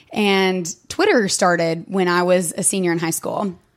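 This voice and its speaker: In a very clean recording with a silent background, a woman with a medium pitch speaks in an East Tennessee accent. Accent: Southern US (East Tennessee). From East Tennessee, US South. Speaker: podcast guest. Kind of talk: testimony.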